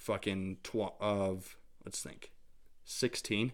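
A man with an American accent, fairly low in pitch, his intonation fairly even, on a very clean recording with a silent background. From Idaho, US. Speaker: musician. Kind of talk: casual interview.

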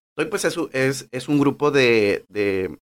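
In a very clean recording with a silent background, a man speaks at medium pitch with ordinary pitch variation. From Mexico, Manzanillo, Colima. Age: 30s. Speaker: podcast host, nutritionist. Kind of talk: personal storytelling monologue. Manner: hesitant, many fillers.

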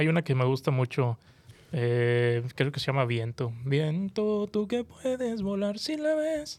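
Speaking at a very slow pace, a man uses a fairly high pitch with very wide pitch swings. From Mexico, Monterrey, Nuevo León. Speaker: podcast co-host. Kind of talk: casual chat. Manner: animated.

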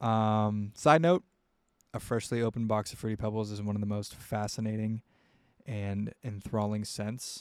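In a very clean recording with a silent background, a man with an American accent speaks at a moderate pace, his fairly low pitch held in fairly even intonation. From US Midwest. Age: 20s. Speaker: podcast host and indie rock musician. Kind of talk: casual solo monologue. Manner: rambling, many filler words.

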